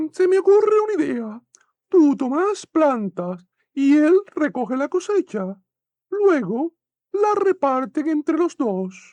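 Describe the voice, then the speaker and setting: Putting on a character voice, a woman speaks at a fairly slow pace with a high pitch and very wide pitch swings. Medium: read story.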